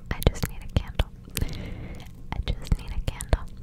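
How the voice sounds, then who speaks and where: At a moderate pace, the speaker whispers in a soft-spoken, playful tone. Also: woman. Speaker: ASMR creator. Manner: soft playful whisper. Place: home room. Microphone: studio mic.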